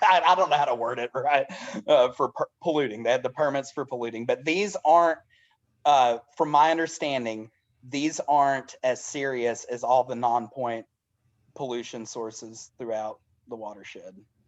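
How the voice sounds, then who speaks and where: A man speaks in a Southern US accent at a moderate pace. His pitch is medium with ordinary variation, over a quiet background. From US South, Dade County, Georgia. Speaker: elementary school teacher and community organizer. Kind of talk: online information session presentation. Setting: video call. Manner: halting.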